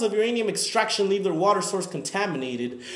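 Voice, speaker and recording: A man talks while noticeable background noise stays audible throughout. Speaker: student. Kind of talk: spoken word performance.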